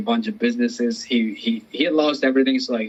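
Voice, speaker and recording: Speaking at a fairly quick pace, a man with a Spanish accent uses lively intonation. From Colombia. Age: 30s. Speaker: comedian. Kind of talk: interview.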